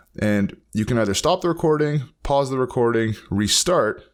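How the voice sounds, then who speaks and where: On a very clean recording with a silent background, a man speaks at medium pitch with very wide pitch swings. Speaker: teacher giving online tech tutorials. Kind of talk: tutorial. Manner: fast; halting.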